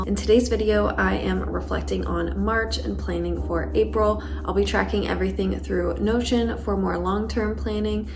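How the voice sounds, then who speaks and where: A woman with an American accent and a very deep, low pitch speaks at a moderate pace with fairly even intonation over noticeable background noise. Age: 20s. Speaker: planning and self-improvement vlogger. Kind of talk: casual talk to camera. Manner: soft-spoken, calm, monotone.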